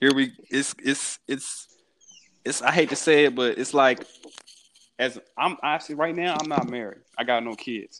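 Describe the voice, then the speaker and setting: A man's unremarkable speaking voice, fairly high in pitch with ordinary pitch variation, at a fairly slow pace, with an American accent. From Houston, Texas. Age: 20s. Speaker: aspiring actor. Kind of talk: casual chat.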